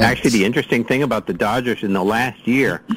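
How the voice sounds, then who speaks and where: Noticeable background noise fills the recording. The man talking uses ordinary pitch variation. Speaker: radio guest and sports fan. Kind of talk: casual chat. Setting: video call.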